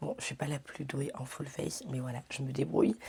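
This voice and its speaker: The woman has a very deep, low voice that sounds somewhat breathy. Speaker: lifestyle vlogger. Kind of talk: casual vlog talk. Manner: hesitant with many fillers; whispering.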